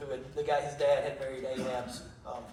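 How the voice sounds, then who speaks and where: A man's fairly high-pitched voice with fairly even intonation, audible room echo and noticeable background noise. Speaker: Bible teacher. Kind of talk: Bible study teaching.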